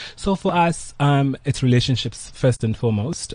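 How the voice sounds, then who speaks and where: A man with a dark, mellow tone sounds somewhat breathy as he talks at a moderate pace. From South Africa, KwaZulu-Natal (Pietermaritzburg). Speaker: hotel group co-owner. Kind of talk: interview. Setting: studio.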